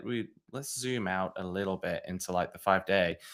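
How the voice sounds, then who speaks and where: A man with a bright, sharp tone at a moderate pace, on a very clean recording with a silent background. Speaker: crypto podcast host. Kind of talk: casual market analysis chat. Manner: hesitant, many fillers and restarts.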